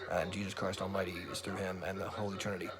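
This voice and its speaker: Here a man talks at a fairly low pitch. Noticeable background noise can be heard. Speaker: religious vlogger. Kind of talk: casual monologue. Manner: fast; animated.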